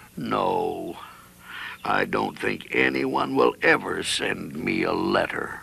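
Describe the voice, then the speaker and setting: In a put-on character voice, a man talks very slowly with a raspy sound. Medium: cartoon.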